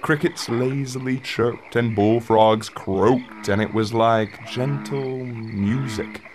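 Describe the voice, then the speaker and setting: A man at a very slow pace, with ordinary pitch variation and noticeable background noise. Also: medium pitch for a man. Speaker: narrator. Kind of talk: audio drama narration.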